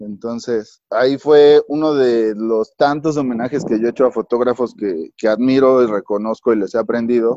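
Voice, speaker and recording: A man with a dark, mellow tone and medium pitch speaks at a moderate pace with ordinary pitch variation and hardly any pauses, in a dry, close sound with no echo. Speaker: photographer and cinematographer. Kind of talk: casual chat. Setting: remote call from home.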